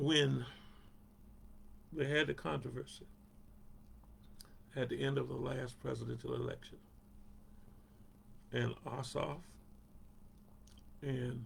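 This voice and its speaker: A man speaks fairly slowly in a Southern US accent. He leaves long, frequent pauses. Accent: Southern US (Georgia). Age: 70s. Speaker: pastor. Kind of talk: Bible study talk. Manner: conversational.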